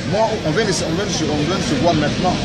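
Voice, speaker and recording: Crowd noise sits in the background. The pitch varies in an ordinary way. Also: man. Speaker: preacher. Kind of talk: informal street preaching. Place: street. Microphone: phone near.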